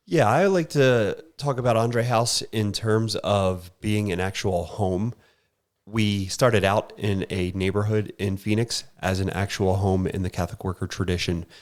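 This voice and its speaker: On a very clean recording with a silent background, the voice moves at a fairly slow pace with ordinary pitch variation. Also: man, fairly low pitch for a man. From Philadelphia, US. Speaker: homeless shelter worker. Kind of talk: interview.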